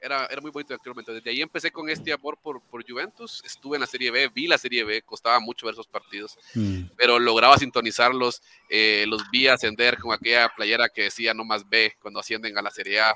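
Recorded dry and close with no echo, the speech runs very fast with fairly even intonation and big swings in loudness. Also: man, medium pitch for a man. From Nicaragua. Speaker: football fan, Facebook group admin. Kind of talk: casual chat. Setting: online call.

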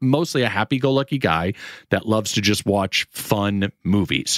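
An animated man with an American accent, on a very clean recording with a silent background and a dry, close sound with no echo. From US Northeast and Florida. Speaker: podcast host. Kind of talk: casual comedic chat. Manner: animated, joking.

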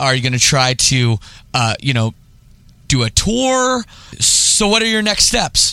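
A man's fairly high, bright, sharp voice in a Canadian accent, full of very wide pitch swings. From Toronto area, Canada. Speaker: podcast host. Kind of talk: casual interview; read-out ad.

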